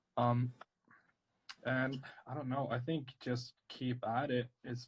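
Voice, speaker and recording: A somewhat breathy man at a very slow pace, monotone and flat, with long, frequent pauses and a dry, close sound with no echo. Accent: strong Swedish. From northern Sweden. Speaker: tattoo artist. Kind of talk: live-stream drawing chat. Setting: live video stream.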